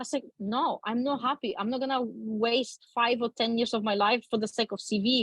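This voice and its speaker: A woman with a Polish accent speaks at a moderate pace in a fairly high voice. Her intonation is fairly even, and the sound is dry and close with no echo. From Poland. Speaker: talk show guest. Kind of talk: interview storytelling.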